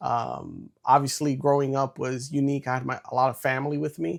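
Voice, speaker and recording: This man speaks with a New York accent at a moderate pace. His pitch is fairly high for a man, with ordinary variation. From New York City. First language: Spanish. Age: 30s. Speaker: entrepreneur and former Marine. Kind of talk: interview.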